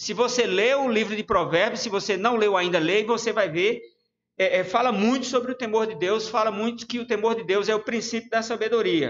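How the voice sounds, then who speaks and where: A man speaks at a moderate pace with a high pitch and fairly even intonation. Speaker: preacher. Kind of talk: sermon. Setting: church livestream.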